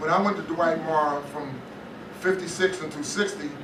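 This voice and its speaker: With an American accent and fairly even intonation, the voice comes through audible room echo and noticeable background noise. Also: man. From northern New Jersey (Englewood). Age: 60s. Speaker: retired teacher and coach. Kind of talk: community history talk. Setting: library talk with audience.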